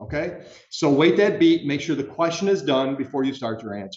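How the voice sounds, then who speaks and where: At a fairly quick pace, a man talks with a fairly high pitch and ordinary pitch variation. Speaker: judge. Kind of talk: jury instructions to prospective jurors. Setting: courtroom. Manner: loud; casual, conversational.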